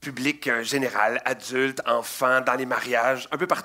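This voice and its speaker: A man with a Quebec accent speaks at a medium pitch in an animated way. His tone is bright and sharp. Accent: Québécois French. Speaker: children's magician. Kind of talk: interview.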